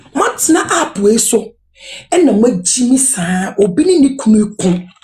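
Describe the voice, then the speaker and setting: A woman's animated voice at medium pitch, with very wide pitch swings and noticeable background noise. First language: Akan (Twi/Fante). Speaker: live-stream commentator. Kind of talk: live stream commentary.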